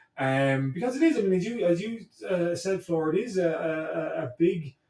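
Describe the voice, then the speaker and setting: Here a man speaks with a Cork accent. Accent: Cork Irish. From Ireland, Blarney, County Cork. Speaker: history professor. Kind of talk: podcast interview. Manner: halting, many repetitions.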